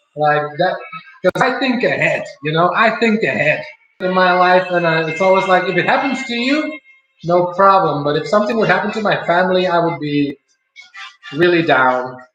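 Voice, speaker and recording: Over audible room echo, a man with a high-pitched voice talks at a moderate pace. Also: lively intonation. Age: 30s. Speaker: streamer. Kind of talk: casual chat. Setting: home live stream while cooking. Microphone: laptop stream, poor quality.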